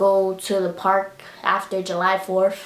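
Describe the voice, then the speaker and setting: A woman speaks over noticeable background noise. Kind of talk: casual talk to camera.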